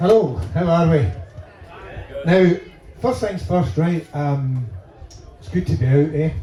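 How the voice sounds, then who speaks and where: A man with a Glaswegian accent speaks at a fairly slow pace and fairly high pitch, with lively intonation and long, frequent pauses. Audible room echo and noticeable background noise fill the recording. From Scotland, Glasgow. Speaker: stand-up comedian. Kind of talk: stand-up. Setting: stage with audience.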